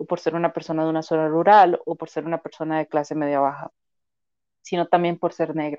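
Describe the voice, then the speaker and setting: A woman's dark, mellow tone at a fairly quick pace, in a dry, close sound with no echo. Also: quiet background. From Costa Rica, Turrialba (Cartago). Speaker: psychologist and sociologist. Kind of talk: interview conversation.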